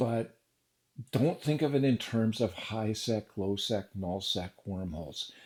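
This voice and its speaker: In a plain, everyday voice, a man uses lively intonation at a moderate pace on a very clean recording with a silent background. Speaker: gaming news vlogger. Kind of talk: casual monologue.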